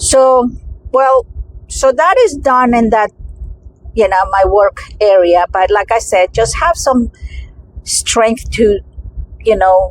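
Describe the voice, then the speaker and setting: Over noticeable background noise, a woman speaks at a very slow pace with long, frequent pauses and very even loudness. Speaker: vlogger. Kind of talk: personal vlog talk. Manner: halting, many fillers.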